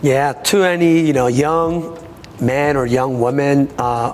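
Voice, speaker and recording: A man with a Korean accent talks at a fairly slow pace in a fairly high voice with ordinary pitch variation. Noticeable background noise runs behind him. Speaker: taekwondo master and teacher. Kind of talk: interview. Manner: halting, many hesitations.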